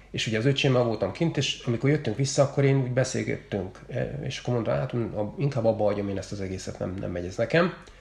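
A man's medium-pitched voice at a very fast pace, with lively intonation and noticeable background noise. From Hungary, Makó near Szeged. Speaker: triathlete. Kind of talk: casual chat. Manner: halting, many repeated words.

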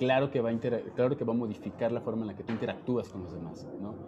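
The voice has a dark, mellow tone and is somewhat breathy. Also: man. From Jalisco, Mexico (small town). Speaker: dancer. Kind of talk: casual chat.

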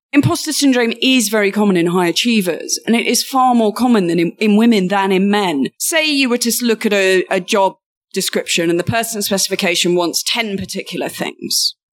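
Lively intonation runs through speech delivered at a fairly quick pace with hardly any pauses. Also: woman, medium pitch for a woman. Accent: British. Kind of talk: interview.

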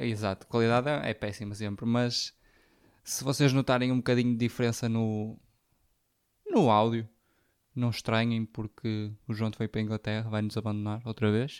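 On a very clean recording with a silent background, a man with a European Portuguese accent speaks at a medium pitch in a flat monotone. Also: moderate pace, dry, close sound with no echo. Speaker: podcast co-host. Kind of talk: casual chat. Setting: recorded at co-host's home.

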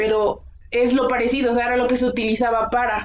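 In a room with audible echo, a woman talks very fast at a high pitch with monotone, flat intonation. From Mexico. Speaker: podcast co-host. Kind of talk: casual history discussion.

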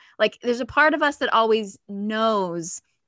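A woman with an American accent and an ordinary speaking voice talks at a moderate pace with fairly high pitch and lively intonation. The sound is dry and close with no echo, over a quiet background. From US. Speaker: stand-up comedian and feminine energy coach. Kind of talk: casual interview.

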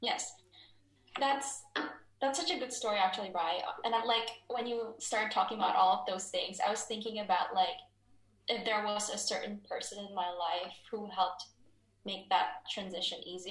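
Through noticeable background noise and audible room echo, a woman talks at medium pitch and a moderate pace with ordinary pitch variation. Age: 20s. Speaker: psychology graduate. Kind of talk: casual chat.

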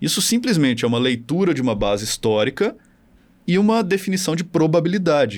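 A man's voice with very wide pitch swings at a moderate pace, on a very clean recording with a silent background. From Minas Gerais, Brazil (Belo Horizonte). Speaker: marketing professor and tech founder. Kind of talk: casual interview chat.

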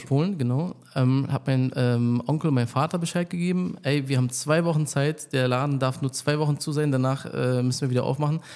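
His tone is dark and mellow at a medium pitch. The man speaks at a fairly quick pace. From Berlin, Germany (Polish roots). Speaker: barber and salon owner. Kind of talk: casual interview.

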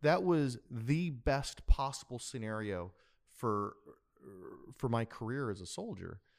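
With an American accent, the speaker uses lively intonation at a fairly slow pace, and the loudness swings widely. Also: man, medium pitch for a man. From Wisconsin. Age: 40s. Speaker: tax advisor. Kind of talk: podcast interview. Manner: halting, many repetitions.

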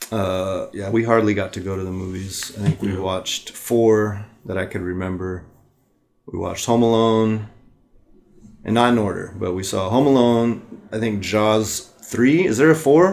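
In a normal speaking voice, a man with an American accent talks at a moderate pace and fairly low pitch, with ordinary pitch variation. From US West Coast. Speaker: podcast co-host. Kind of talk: casual chat.

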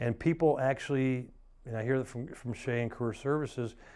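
A normal speaking voice comes through against a quiet background. The pace is moderate and the intonation fairly even. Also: man. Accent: American. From US South, Atlanta. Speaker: realtor. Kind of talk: casual interview.

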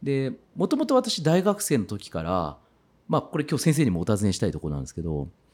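On a very clean recording with a silent background, a man speaks in an animated tone at a fairly quick pace, with big swings in loudness. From Kitakyushu, Fukuoka, Japan. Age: 40s. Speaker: farmer. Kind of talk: interview.

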